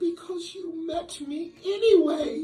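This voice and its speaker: A female-sounding put-on character voice with extremely high pitch moves at a fairly slow pace while faint music plays in the background. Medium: read story.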